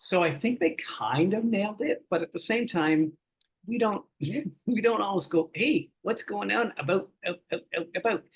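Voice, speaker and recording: With a Canadian accent, a man with a high pitch speaks at a moderate pace using lively intonation. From Canada. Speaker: voice actor. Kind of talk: casual chat. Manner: animated.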